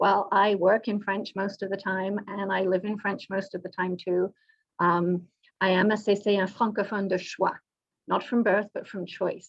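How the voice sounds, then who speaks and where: A woman with a British accent talks at a moderate pace and medium pitch. Her intonation is monotone and flat. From Britain. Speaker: government executive director. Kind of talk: panel presentation. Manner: some stammering and repetition.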